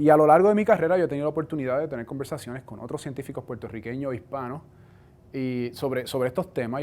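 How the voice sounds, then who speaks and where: Words tumble out very fast, with typical ups and downs in pitch. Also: man. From Puerto Rico. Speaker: cell biology professor. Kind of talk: science outreach talk.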